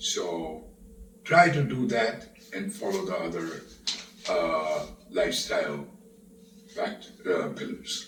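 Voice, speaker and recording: A man's very slow speech with long, frequent pauses, audible room echo, and noticeable background noise. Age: 70s. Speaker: cardiologist. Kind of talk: interview. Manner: halting.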